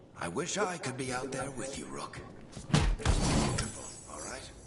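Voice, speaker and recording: A man puts on a character voice at a medium pitch and a moderate pace. Loud background noise and sound effects play behind him. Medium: video game. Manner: wry, easygoing.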